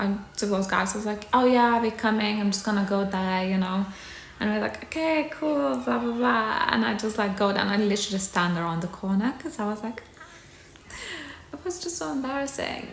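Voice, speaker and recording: A soft-spoken woman's medium-pitched voice, lively in intonation and fairly quick in pace, over noticeable background noise. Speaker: ASMR creator and aspiring actor. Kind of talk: ASMR storytime to camera. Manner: soft-spoken, chatty.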